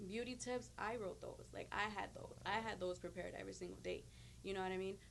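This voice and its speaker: Very fast speech in an American accent, with audible room echo. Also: woman. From Chicago, US. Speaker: radio and TV personality. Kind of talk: interview. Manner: casual, filler-heavy.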